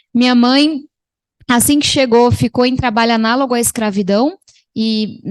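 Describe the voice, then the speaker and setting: A woman's high-pitched voice comes through with little going on in the background. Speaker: panel speaker. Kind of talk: testimony. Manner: fast; animated.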